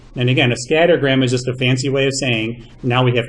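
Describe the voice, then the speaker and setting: Words tumble out of a man at a very fast pace. The room adds an audible echo. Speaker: math teacher. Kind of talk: lecture.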